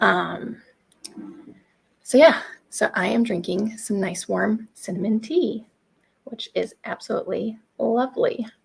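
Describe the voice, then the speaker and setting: A soft-spoken woman talks at a fairly slow pace, with long, frequent pauses. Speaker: homesteading channel host. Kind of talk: casual chat.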